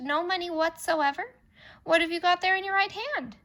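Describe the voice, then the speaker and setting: In a squeaky, put-on character voice, a woman speaks at an extremely high pitch and moderate pace, raised and projected, with lively intonation on a very clean recording with a silent background. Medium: read story. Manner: hearty, coaxing.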